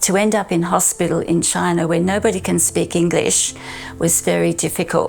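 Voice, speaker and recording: A woman with an Australian accent, music in the background. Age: 80s+. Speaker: physio assistant. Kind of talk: interview answer.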